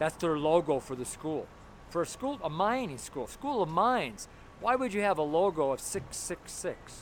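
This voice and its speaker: A loud man with a high pitch and an American accent, at a moderate pace, with very wide pitch swings. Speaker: street preacher. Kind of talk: street sermon. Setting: outdoors. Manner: gritty, blunt.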